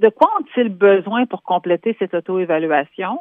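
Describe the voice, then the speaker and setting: This voice moves at a moderate pace with lively intonation. It is an ordinary speaking voice. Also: woman. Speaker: human resources specialist. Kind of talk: radio column interview.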